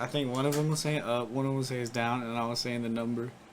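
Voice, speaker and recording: Music plays in the background. A soft-spoken man talks in a monotone, flat intonation. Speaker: army veteran. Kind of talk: casual chat. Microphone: sounds far from the mic.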